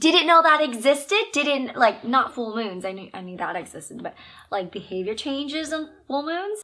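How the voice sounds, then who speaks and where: A woman speaks at a moderate pace with an animated tone. Her pitch swings very widely. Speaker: elementary school teacher. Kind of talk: casual vlog talk. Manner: soft-spoken.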